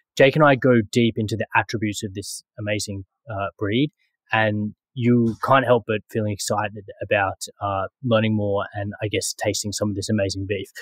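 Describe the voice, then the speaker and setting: A man with a fairly low, somewhat breathy voice talks at a moderate pace, the sound dry with no echo and the background quiet. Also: fairly even intonation. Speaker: podcast host. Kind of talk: podcast intro monologue. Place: home room.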